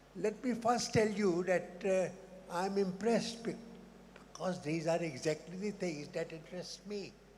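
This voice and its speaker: With audible room echo, a man speaks at a moderate pace in a high pitch, using ordinary pitch variation. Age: 80s+. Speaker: immunologist, audience member. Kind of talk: audience question at conference. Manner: halting.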